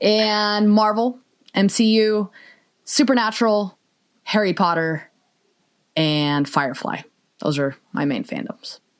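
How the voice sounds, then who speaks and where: In a very clean recording with a silent background, a woman with a medium-pitched voice speaks very slowly with lively intonation and long, frequent pauses. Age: 30s. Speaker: podcast co-host and high school English teacher. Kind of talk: casual chat.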